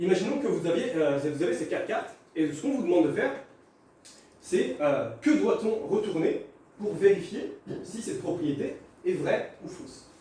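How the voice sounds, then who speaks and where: With audible room echo and noticeable background noise, a man speaks at a moderate pace, with big swings in loudness and long, frequent pauses. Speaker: math teacher. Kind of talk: lecture.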